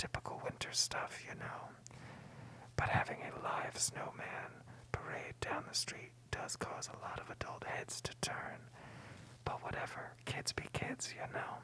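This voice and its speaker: Someone whispers in a playful tone. The pace is fairly slow. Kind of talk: ASMR movie recap, whispered commentary. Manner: whispered, soft-spoken, playful and jokey.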